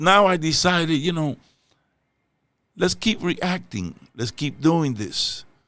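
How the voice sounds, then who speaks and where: A man with a Spanish accent, fairly high-pitched, bright and sharp in tone, with lively intonation, a very slow pace and long, frequent pauses. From Dominican Republic. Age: old. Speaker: reaction youtuber. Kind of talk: casual chat. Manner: halting.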